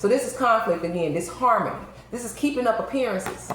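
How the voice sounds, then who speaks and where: The speech runs at a fairly quick pace amid noticeable background noise. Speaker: tarot reader. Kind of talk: tarot reading commentary. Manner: repetitive, hesitant with restarts.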